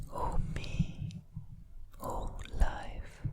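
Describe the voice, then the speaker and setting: A man is whispering. Noticeable background noise can be heard. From Italy. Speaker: poet and artist. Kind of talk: ASMR poetry reading. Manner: whispered, soft-spoken.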